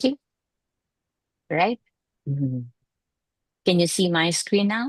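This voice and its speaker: A woman's fairly low voice in a Filipino accent, with very wide pitch swings at a fairly slow pace, dry and close with no echo. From Philippines. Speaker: educator. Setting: video call.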